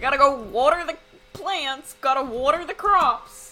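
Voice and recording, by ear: Putting on a character voice, a woman speaks at a high pitch and a moderate pace, with lively intonation and big swings in loudness.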